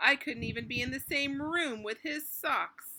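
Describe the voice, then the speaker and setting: A put-on character voice delivers its lines with lively intonation. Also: woman. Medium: read story.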